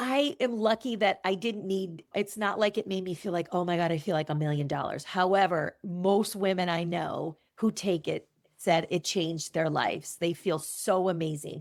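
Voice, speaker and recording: Here a woman with an unremarkable speaking voice talks at a moderate pace, medium in pitch, with ordinary pitch variation. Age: 60s. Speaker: event business owner. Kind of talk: interview conversation.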